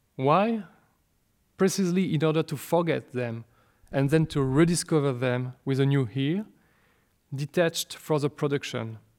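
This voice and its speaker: A man with a French accent at a fairly high pitch, moderate pace and ordinary pitch variation, with long, frequent pauses in a very clean recording over a silent background. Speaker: speaker on a composer's work. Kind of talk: lecture. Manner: formal.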